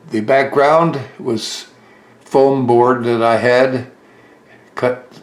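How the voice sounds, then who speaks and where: The intonation stays fairly even. Speech comes at a very slow pace over noticeable background noise. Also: man. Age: 90s. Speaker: model railroad hobbyist. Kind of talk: video tour narration.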